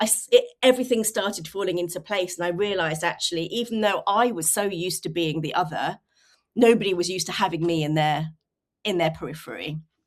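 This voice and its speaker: A woman at a very fast pace, with a southern English accent. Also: fairly low pitch for a woman, ordinary pitch variation, very clean recording, silent background. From England, rural Suffolk. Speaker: communications consultant. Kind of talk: interview.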